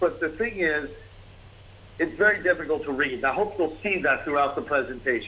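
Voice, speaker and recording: A high-pitched man's voice with a New York accent at a moderate pace. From New York, the Bronx. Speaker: business consultant. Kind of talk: webinar presentation.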